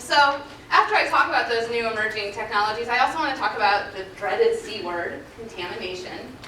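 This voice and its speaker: Amid audible room echo and noticeable background noise, a woman with a fairly high pitch talks at a fairly quick pace, her pitch swinging very widely. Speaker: forensic scientist. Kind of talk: conference presentation. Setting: stage with audience. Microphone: muffled if too close to the mic.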